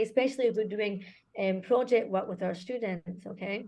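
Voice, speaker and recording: A woman with a Scottish accent, dark and mellow in tone, at a fairly quick pace with ordinary pitch variation. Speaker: conference speaker, school director. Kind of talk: conference presentation.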